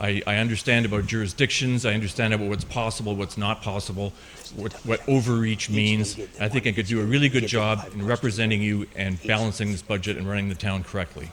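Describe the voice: A fast pace, a fairly bright tone and fairly even intonation. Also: man, fairly low pitch for a man.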